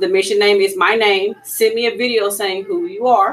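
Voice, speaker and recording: Lively intonation from a woman in a Louisiana accent, medium pitch, moderate pace. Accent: Louisiana Southern US. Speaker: PE teacher. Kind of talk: tutorial.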